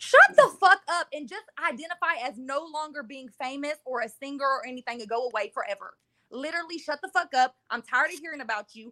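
With hardly any pauses, a raised, projected voice moves at a fairly quick pace in an animated tone, its bright, sharp tone and lively intonation heard in a dry, close sound with no echo. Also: woman, high pitch for a woman, big swings in loudness. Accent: American. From Texas, Dayton. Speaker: caller. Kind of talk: casual chat.

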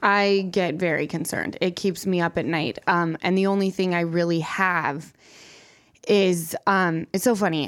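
In a very clean recording with a silent background, a woman with an American accent uses an ordinary speaking voice, fairly low in pitch, with fairly even intonation at a fairly slow pace. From Salt Lake City, Utah. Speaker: reality TV personality guest. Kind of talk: casual podcast conversation.

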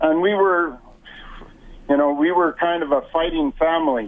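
With a Prairie accent, a man talks at a fairly high pitch with ordinary pitch variation. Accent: Canadian English, Prairie. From rural Alberta, Canada. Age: 60s. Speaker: wheelchair athlete. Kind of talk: interview. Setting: phone call. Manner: halting, repeats words.

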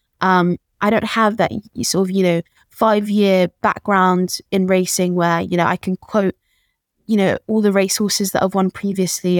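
A woman with a London accent speaks at a moderate pace in a flat, monotone delivery at medium pitch, her voice dry and close with no echo on a very clean recording with a silent background. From London, England (Peckham). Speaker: jockey. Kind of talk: interview. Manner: halting.

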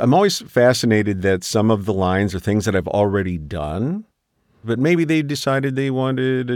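A man speaks at a moderate pace in an ordinary speaking voice with lively intonation. The recording is very clean, with a silent background. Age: 60s. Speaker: voice actor. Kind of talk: casual chat. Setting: studio.

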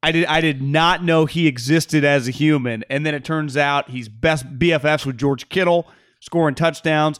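Recorded very cleanly against a silent background, a man with an unremarkable speaking voice talks at a moderate pace in a fairly high pitch with fairly even intonation. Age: 30s. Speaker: sports podcast host. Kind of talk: casual chat.

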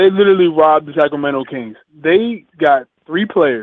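A man talks in a fairly high pitch. His pace is moderate and his pitch variation ordinary. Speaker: regular caller, hip hop discussion guest. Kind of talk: casual sports talk call-in. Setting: phone call. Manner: animated.

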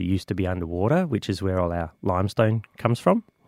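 A man with an Australian accent speaks in a very deep, low voice. The recording is very clean and silent behind him, with a dry, close sound and no echo. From Australia, Adelaide. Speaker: volunteer tower caretaker. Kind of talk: radio interview.

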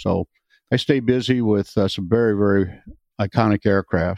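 With an American accent, a man uses a normal speaking voice, fairly low in pitch and fairly even in intonation, in a dry, close sound with no echo. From US Midwest, Wisconsin. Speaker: retired airline pilot and vintage bomber pilot. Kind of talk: interview.

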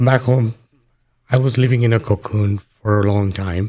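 A man with a Tamil accent speaks fairly slowly, his fairly low voice dark and mellow in tone. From Sri Lanka. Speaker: author and former refugee. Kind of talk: radio interview. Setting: radio studio.

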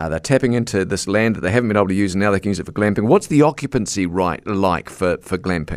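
With a New Zealand accent, a man speaks at a fairly low pitch and a very fast pace, with hardly any pauses and ordinary pitch variation. The recording is very clean, with a silent background. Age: 50s. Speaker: radio host. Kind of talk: radio interview.

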